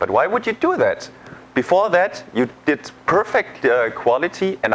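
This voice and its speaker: A speaker with a German accent talks at a fairly slow pace. Noticeable background noise can be heard. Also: man. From Germany. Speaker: sales engineer. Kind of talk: tutorial. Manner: hesitant, many fillers.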